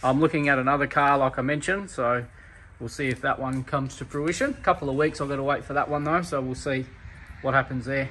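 Light background noise sits behind a man who talks at a very fast pace with fairly even intonation. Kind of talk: casual vlog chat. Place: garage. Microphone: phone near.

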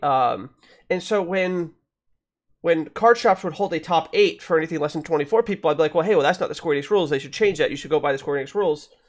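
A man with a high pitch at a very fast pace, ordinary pitch variation and a quiet background. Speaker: gaming podcast host. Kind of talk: casual podcast conversation. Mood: reflective, mildly critical. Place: home room. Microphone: studio mic.

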